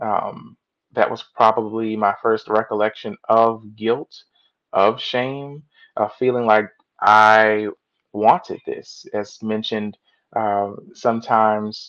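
Speaking very slowly with long, frequent pauses, a man with an American accent uses a fairly low pitch and a flat, monotone intonation. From Washington DC area. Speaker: co-author and psychology student. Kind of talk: testimony.

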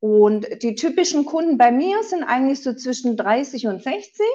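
Here a woman speaks at a fairly slow pace. Her intonation is lively. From southern Germany. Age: 40s. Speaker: insurance broker. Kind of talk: interview.

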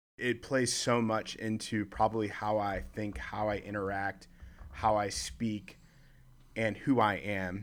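A plain, everyday voice in an American accent, fairly slow, with ordinary pitch variation. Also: man, fairly low pitch for a man. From Chicago. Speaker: leadership organization worker. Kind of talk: casual chat.

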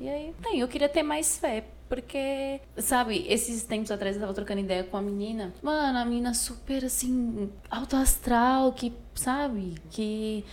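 A woman talks with lively intonation at a moderate pace while noticeable background noise carries on. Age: 20s. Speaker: podcast guest. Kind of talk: casual interview.

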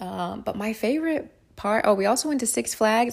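This is a woman talking. Her recording is very clean, and the background is silent. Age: 30s. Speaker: podcast host. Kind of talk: casual chat. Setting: home recording in a noisy warehouse district. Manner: laughs often.

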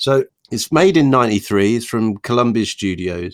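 Lively intonation from a man with a Norfolk accent at medium pitch and a moderate pace, dry and close with no echo, on a very clean recording with a silent background. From Norfolk, England. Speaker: podcast host. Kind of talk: casual banter about films. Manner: jokey, irreverent.

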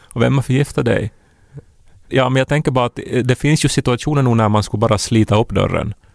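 Very fast speech from a man at medium pitch, with very even loudness and fairly even intonation, dry and close with no echo. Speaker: podcast host. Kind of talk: casual chat.

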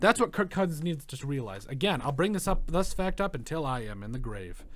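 A man talks at a very fast pace with lively intonation on a very clean recording with a silent background. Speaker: sports podcast host. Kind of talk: casual chat. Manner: loud.

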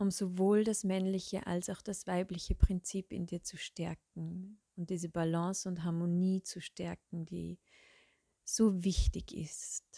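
Very slowly and in a monotone, flat manner, a somewhat breathy woman at a medium pitch speaks with a calm, soothing, dark, mellow tone, big swings in loudness, and a dry, close sound with no echo. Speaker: meditation guide. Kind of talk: guided meditation. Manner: slow, calm, soothing with long pauses; soft-spoken, gentle.

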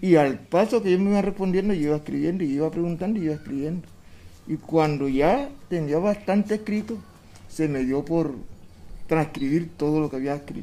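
At a fairly quick pace, the speaker talks in a dark, mellow tone. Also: man, fairly high pitch for a man, ordinary pitch variation. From Colombian Caribbean coast, La Boquilla, Cartagena. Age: 70s. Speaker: community historian and local composer. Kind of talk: interview answers.

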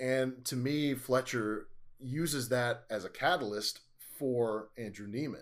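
This man has an unremarkable speaking voice at a medium pitch. His pitch variation is ordinary. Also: fairly slow pace. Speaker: podcast host. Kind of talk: casual chat.

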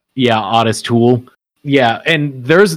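A plain, everyday voice at a fairly slow pace. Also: man. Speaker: podcast host. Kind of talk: casual banter.

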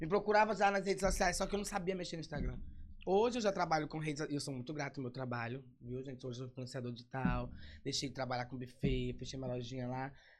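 Here a man talks at a very fast pace. His fairly high pitch carries lively intonation. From São Luís, Maranhão, Brazil. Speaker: digital influencer. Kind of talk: casual interview chat.

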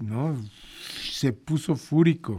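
In a Mexican accent, a man speaks with a fairly high pitch, a dark, mellow tone and ordinary pitch variation. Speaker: radio host. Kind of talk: casual chat.

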